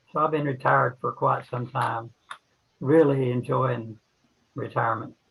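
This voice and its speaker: A man at a medium pitch and moderate pace, with vocal fry, fairly even intonation and long, frequent pauses. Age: 80s+. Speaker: ham radio operator. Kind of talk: casual chat.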